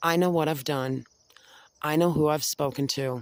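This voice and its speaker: A man speaks with an American accent at a moderate pace. His intonation is fairly even. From Delaware County, upstate New York. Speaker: vlogger. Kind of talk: angry rant to camera.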